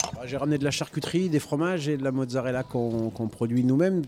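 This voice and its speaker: This man talks at a very fast pace, using a medium pitch with ordinary pitch variation. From northern France (Denain), Italian parents. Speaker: restaurateur. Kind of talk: casual chat. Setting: live radio recording in a record shop.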